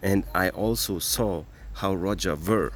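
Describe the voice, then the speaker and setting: A man speaks at a very slow pace. He has a non-native accent. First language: not English. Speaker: cryptocurrency advocate. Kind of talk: impassioned monologue. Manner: animated.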